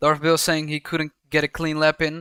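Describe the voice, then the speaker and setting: In a very clean recording with a silent background, a man with a Dutch accent has a bright, sharp tone. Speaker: sim racing commentator. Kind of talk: live commentary. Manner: halting, frequent repetitions.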